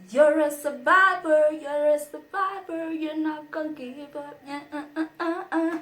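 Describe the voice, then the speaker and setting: At a fairly slow pace, a woman with a high pitch speaks in an animated tone with ordinary pitch variation. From South Africa. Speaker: YouTuber. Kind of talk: casual vlog talk to camera.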